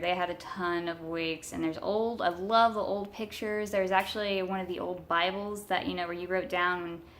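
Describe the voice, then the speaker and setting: A woman at medium pitch, moderate pace and fairly even intonation. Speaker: paranormal video creator. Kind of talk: casual vlog. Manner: loud; halting, many fillers.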